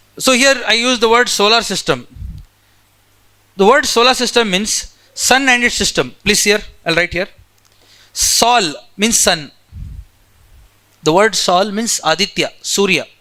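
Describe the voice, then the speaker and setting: A man with a high pitch uses a raised, projected voice and a bright, sharp tone. He moves at a fairly slow pace with lively intonation and long, frequent pauses. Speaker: geography teacher. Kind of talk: lecture.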